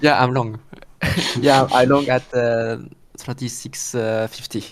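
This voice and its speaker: A man with a French accent speaks fairly slowly at a medium pitch in a monotone, flat intonation, with noticeable background noise. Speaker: day trader. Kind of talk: casual chat. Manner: halting.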